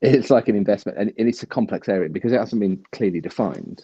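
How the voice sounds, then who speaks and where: With a British accent, a man speaks in a dark, mellow tone, and the sound is dry and close with no echo. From UK. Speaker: livestream guest. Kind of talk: casual chat. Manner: fast.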